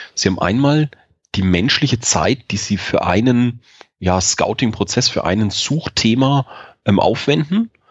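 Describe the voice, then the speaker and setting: A man talks with ordinary pitch variation. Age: 40s. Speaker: sales director at a procurement software startup. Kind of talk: podcast interview. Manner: frequent filler hesitations (ähm).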